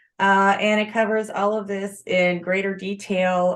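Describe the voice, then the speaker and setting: Speaking at a fairly slow pace, a woman uses a plain, everyday voice at a medium pitch. The background is quiet. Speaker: author and blogger giving a self-publishing presentation. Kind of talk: webinar Q&A and course pitch.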